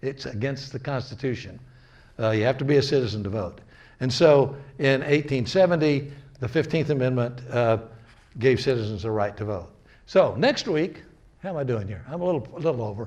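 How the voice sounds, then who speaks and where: A man with a somewhat breathy voice talks at medium pitch and a fairly quick pace. His pitch varies in an ordinary way, and audible room echo fills the recording. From US North. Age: 80s+. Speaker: lecturer. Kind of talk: lecture. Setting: community gathering, recorded on camera. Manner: halting.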